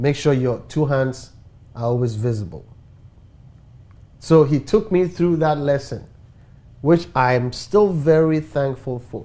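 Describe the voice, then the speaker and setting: Speaking slowly with long, frequent pauses, a man with a Ghanaian accent uses a fairly high pitch, ordinary pitch variation and a dark, mellow tone. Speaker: talk show host. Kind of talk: talk show discussion.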